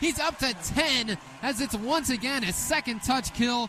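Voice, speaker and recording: Noticeable background noise fills the recording. Over it, the voice is raised and projected. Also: man. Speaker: play-by-play sports commentator. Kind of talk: radio sports play-by-play.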